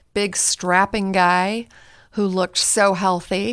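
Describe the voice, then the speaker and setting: In a very clean recording with a silent background, a woman with an American accent uses a normal speaking voice at medium pitch with ordinary pitch variation. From US West Coast, Northern California. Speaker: marriage and family therapist. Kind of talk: podcast interview.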